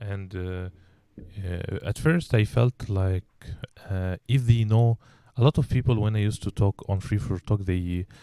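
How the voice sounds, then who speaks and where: A man with a slight Egyptian accent speaks in a dark, mellow tone at a fairly low pitch and a fairly slow pace, with ordinary pitch variation, long, frequent pauses, and a dry, close sound with no echo on a very clean recording with a silent background. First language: Arabic. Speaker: English teacher and podcast host. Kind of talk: casual chat. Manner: hesitant, many fillers and repetitions.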